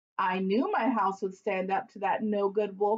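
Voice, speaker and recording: A woman's put-on character voice, medium in pitch, at a moderate pace. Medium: read story. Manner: tough, defiant.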